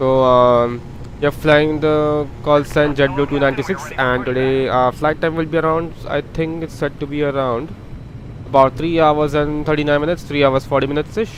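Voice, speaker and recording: Against noticeable background noise, a man with a fairly high pitch speaks with fairly even intonation. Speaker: flight sim streamer. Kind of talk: live gameplay commentary. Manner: halting, many fillers; fast.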